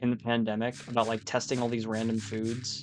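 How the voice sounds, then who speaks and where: Music plays in the background. A man with a medium-pitched voice talks at a fairly quick pace. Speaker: gaming streamer. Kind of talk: casual chat. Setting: live stream.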